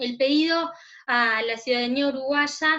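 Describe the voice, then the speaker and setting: This is a woman speaking. Her pitch is high. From Uruguay. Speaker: notary, commission coordinator. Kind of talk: virtual panel presentation.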